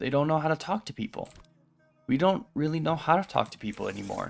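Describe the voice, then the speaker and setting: A man's voice with music in the background. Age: 20s. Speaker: streamer. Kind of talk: casual chat. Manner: halting.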